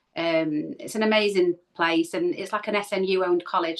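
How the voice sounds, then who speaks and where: The woman's intonation holds fairly even. Her pitch falls in the medium range. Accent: Manchester. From Manchester, northern England. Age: 40s. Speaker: spiritual medium and healer. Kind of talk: casual interview.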